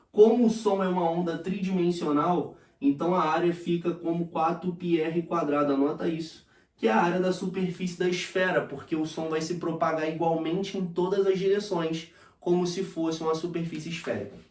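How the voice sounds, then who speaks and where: High-pitched man at a moderate pace, with audible room echo and noticeable background noise. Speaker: physics teacher. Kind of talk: lecture. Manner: animated.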